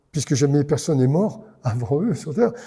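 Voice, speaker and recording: A man with a fairly high pitch and a dark, mellow tone, at a fairly quick pace. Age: 70s. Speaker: pastor. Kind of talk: sermon. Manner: animated.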